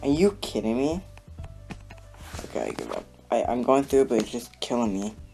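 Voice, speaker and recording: A man with a medium-pitched voice and lively intonation talks at a fairly quick pace, with long, frequent pauses. Music plays in the background. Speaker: gamer, level reviewer. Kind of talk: gameplay commentary.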